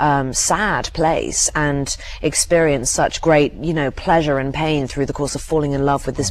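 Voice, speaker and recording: A woman with an English accent, very deep and low in pitch, at a moderate pace with fairly even intonation, over noticeable background noise. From England. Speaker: actress. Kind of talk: interview answer.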